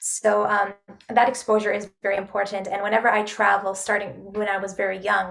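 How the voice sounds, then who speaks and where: There is noticeable background noise. A woman speaks at a fairly quick pace in a medium pitch. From Canada, Toronto. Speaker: opera singer. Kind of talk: interview. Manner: hesitant, many fillers.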